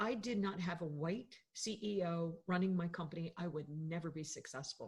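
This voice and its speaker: With an American accent, a woman speaks at a moderate pace in a fairly low, somewhat breathy voice and fairly even intonation. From US South, Florida. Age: 60s. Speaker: podcast co-host, business owner. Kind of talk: casual discussion. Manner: hesitant, many fillers.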